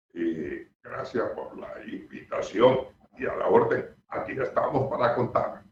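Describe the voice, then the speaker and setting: A man at a very slow pace with big swings in loudness. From Barranquilla, Colombia. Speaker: veteran radio newsreader. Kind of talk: interview. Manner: formal.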